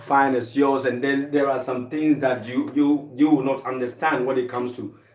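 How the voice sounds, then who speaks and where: A man with a Ghanaian accent at a medium pitch and moderate pace, with noticeable background noise. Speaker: co-host, host's husband. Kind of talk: casual chat. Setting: live stream from home kitchen.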